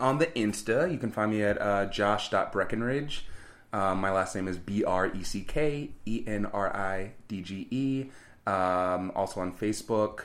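This man has an unremarkable speaking voice with a fairly low pitch. He talks at a fairly slow pace with ordinary pitch variation. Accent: American. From California. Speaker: Broadway performer and dance captain. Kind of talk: interview.

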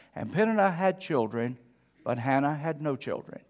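A man with a plain, everyday voice speaks at a fairly high pitch and a moderate pace. His intonation is lively, and the recording is very clean, with a silent background. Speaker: pastor. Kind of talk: sermon. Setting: church.

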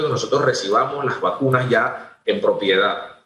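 A man with an unremarkable speaking voice talks at a moderate pace and fairly high pitch, with ordinary pitch variation. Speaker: government agency head. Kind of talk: radio interview.

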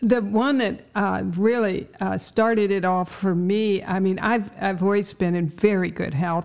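A woman with an unremarkable speaking voice talks at a medium pitch and fairly slow pace, with fairly even intonation and hardly any pauses. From Ohio.

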